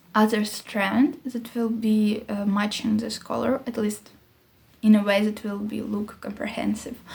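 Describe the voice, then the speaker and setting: Fairly slow, flat, monotone speech from a woman with a fairly high voice, over noticeable background noise. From Ukraine. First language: not English (English is third language). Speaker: knitting podcaster. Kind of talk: casual monologue vlog. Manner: halting, searching for words.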